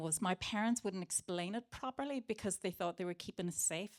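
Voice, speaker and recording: A woman with a Northern Irish accent speaks at a fairly quick pace in a medium pitch. The sound is dry and close with no echo, on a very clean recording with a silent background. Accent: Derry. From Northern Ireland, Derry. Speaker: playwright and actor. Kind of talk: panel talk. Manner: animated.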